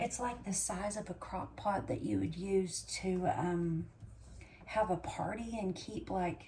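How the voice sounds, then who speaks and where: A woman speaks quietly at a very slow pace. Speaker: homesteading vlogger. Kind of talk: casual vlog talk. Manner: talking low, quiet.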